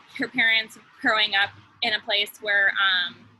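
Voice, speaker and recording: A woman speaks with an American accent in a bright, sharp tone. Her pace is fairly slow. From US Midwest, Chicago area. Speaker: engineer. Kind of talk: interview. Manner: halting, with repetitions.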